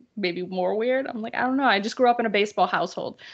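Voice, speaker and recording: Speaking very fast, a woman uses lively intonation. She has a medium-pitched voice and a Boston accent. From Boston area, Massachusetts. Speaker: sports writer. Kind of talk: casual chat. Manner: animated.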